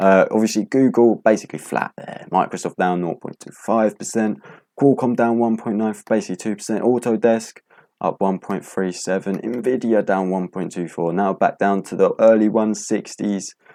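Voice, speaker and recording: Moderate pace and fairly even intonation from a man with a fairly low pitch and a dark, mellow tone, against a quiet background. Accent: British. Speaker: stock market youtuber. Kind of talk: casual market recap. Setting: home, late at night.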